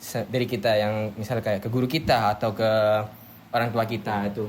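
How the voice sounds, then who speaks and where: In a Madurese accent, a man speaks at a fairly quick pace with monotone, flat intonation. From Madura, Indonesia (Bangkalan). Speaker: university student. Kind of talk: casual group podcast discussion. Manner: naturally loud, forceful tone; halting, many fillers.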